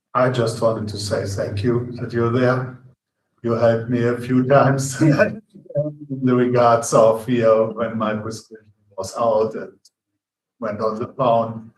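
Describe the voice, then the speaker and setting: A man speaks at a fairly slow pace in a somewhat breathy voice. His pitch is medium and his intonation monotone and flat. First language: not English. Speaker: city commissioner. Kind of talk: public meeting discussion. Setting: city commission meeting.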